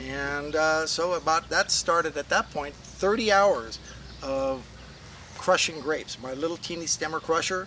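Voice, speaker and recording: Fairly slow delivery with ordinary pitch variation and noticeable background noise. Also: man, fairly high pitch for a man. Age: 60s. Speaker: winemaker. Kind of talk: storytelling. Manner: casual, enthusiastic.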